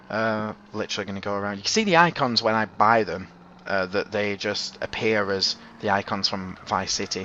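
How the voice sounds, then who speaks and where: Noticeable background noise runs under this recording. A man speaks at a moderate pace in a fairly low pitch. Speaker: gaming YouTuber. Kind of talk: gameplay commentary. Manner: halting, stuttering; casual.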